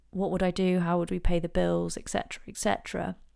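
A woman with an English accent speaks at a fairly low pitch. The recording is very clean, with a silent background. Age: 30s. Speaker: podcast host, interior designer, former teacher. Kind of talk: personal monologue. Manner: hesitant, many fillers.

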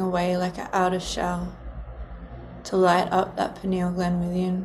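A woman speaks very slowly in a soothing, calm tone with flat, monotone intonation, over noticeable background noise. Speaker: podcast host and meditation guide. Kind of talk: guided meditation. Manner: slow, soothing, calm, with pauses.

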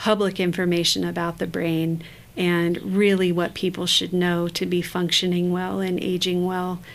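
A woman with an American accent speaks at a moderate pace. Her pitch is fairly low and her intonation monotone and flat. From northern Michigan, US. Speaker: cognitive neuroscientist and former professor. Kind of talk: interview conversation.

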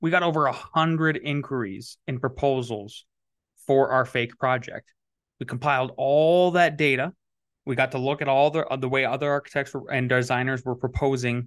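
A man with an American accent talks at a moderate pace with medium pitch. His intonation is fairly even and the background is quiet. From US Upper Midwest, northwest North Dakota. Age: 40s. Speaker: architect and business founder. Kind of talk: interview.

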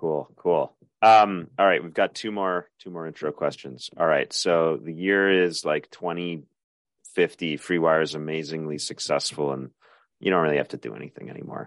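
A man's very deep, low voice moves at a moderate speed, its pitch varying in an ordinary way. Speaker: podcast host. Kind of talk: podcast interview.

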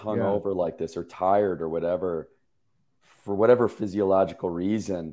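Gravelly and low-pitched, a man's voice has a dark, mellow tone and fairly even intonation. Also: moderate pace.

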